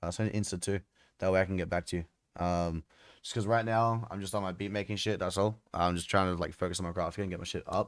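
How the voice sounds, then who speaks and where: Delivered at a very fast pace in an Australian accent, the speech has monotone, flat intonation, a dry sound with no echo and a quiet background. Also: man. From Australia, Melbourne. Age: 20s. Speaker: music producer streamer. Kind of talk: casual chat. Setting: live stream. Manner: casual, hesitant. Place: home room.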